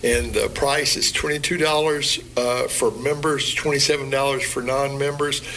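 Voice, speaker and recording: A man's fairly high-pitched voice at a moderate pace, with audible room echo and noticeable background noise. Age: 70s. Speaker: military public affairs spokesman. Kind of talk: radio interview.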